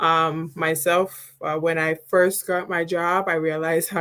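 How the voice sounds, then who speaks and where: A woman's fairly low-pitched voice. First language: not English. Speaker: scrum master. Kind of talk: live talk to online audience. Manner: halting, many fillers.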